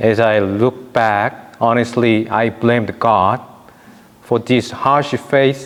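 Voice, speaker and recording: Over noticeable background noise, a man with a Korean accent speaks very slowly in a flat monotone. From South Korea. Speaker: priest. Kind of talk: testimony.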